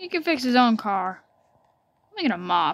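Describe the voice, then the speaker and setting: Her raised, projected voice makes very wide pitch swings, and the sound is dry with no echo. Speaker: gamer. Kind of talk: gameplay commentary.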